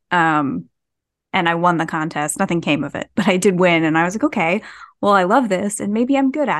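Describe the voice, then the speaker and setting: A woman with a New Jersey accent, fairly low in pitch, at a fairly quick pace, with lively intonation over a quiet background. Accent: New Jersey American. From US Northeast (New Jersey). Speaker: horror author. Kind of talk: casual interview.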